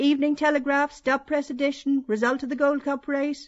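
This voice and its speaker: A put-on character voice, high and shrill, monotone and flat, at a fairly quick pace. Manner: wailing, crying out.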